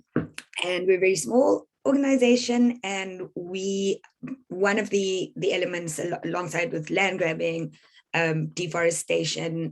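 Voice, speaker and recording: A woman with an unremarkable speaking voice talks at a fairly slow pace, her pitch fairly low and its variation ordinary. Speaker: environmental campaigner. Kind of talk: presentation.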